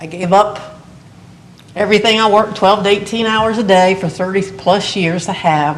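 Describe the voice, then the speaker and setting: A woman with an American accent talks at a moderate pace and medium pitch, her intonation fairly even. Audible room echo and noticeable background noise come through. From Morgantown, West Virginia. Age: 60s. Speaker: retired teacher and coach, resident applicant. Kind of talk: public hearing testimony. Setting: municipal board meeting.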